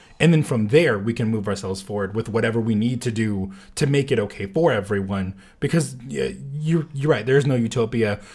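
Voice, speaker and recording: The man's voice is somewhat breathy, with lively intonation. He talks at a fairly quick pace. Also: medium pitch for a man. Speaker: podcast host, co-guest. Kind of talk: casual discussion. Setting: studio.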